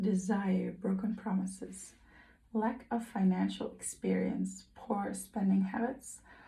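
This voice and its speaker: With a non-native accent, someone delivers the words at a fairly slow pace. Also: woman. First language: not English. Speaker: tarot reader. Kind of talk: tarot reading. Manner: hesitant, with fillers and self-corrections.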